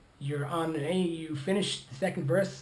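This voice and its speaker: Audible echo fills the room. The man's delivery is moderate in speed. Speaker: ukulele teacher. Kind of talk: tutorial. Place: home room. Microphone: phone near.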